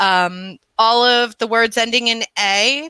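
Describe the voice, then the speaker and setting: Very slowly and with an American accent, a woman speaks in a bright, sharp tone at a fairly high pitch with ordinary variation, the sound dry and close with no echo in a very clean recording with a silent background. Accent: slight New York accent, stronger when angry. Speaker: podcast co-host. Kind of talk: casual chat. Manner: animated.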